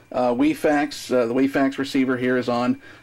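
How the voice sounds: A man talks at a fairly quick pace with a slightly mellow tone.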